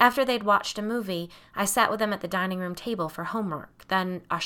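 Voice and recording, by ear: With ordinary pitch variation, the speaker is reading aloud in a natural voice.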